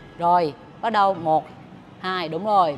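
A woman talks very slowly while music plays behind her. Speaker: fitness trainer. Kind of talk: workout instruction and counting. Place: gym.

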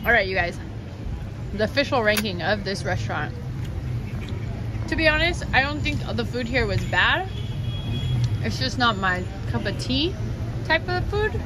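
Moderate pace with long, frequent pauses, dry sound with no echo, music in the background. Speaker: travel vlogger. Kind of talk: casual vlog chat, food review. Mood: relaxed, playful. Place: cafe.

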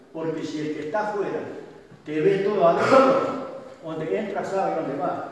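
Lively intonation at a moderate pace, with strong room echo and light background noise. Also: man. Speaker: assault victim giving testimony. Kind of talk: public testimony at a community meeting. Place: hall.

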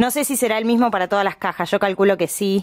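Against a quiet background, a woman at medium pitch talks very fast. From Argentina. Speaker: YouTuber. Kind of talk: unboxing vlog. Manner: animated. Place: home room.

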